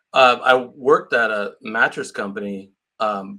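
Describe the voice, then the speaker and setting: Against a quiet background, a man with a Californian accent speaks at a medium pitch. His tone is bright and sharp, and his intonation is monotone and flat. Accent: Californian American. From California, Santa Cruz area. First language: Portuguese. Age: 50s. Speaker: real estate agent. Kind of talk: interview.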